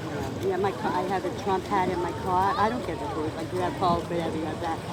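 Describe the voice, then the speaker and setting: A woman with a New York accent talks very fast in an animated tone, with a fairly low pitch for a woman. Noticeable background noise and audible room echo run through the recording. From Long Island, New York. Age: 60s. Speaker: local resident, political rant. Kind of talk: casual chat. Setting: outdoors.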